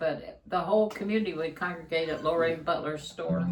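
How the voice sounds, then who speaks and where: Audible room echo surrounds a woman with a fairly low pitch and ordinary pitch variation. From eastern Kentucky. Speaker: musician, channel co-host. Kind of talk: casual chat.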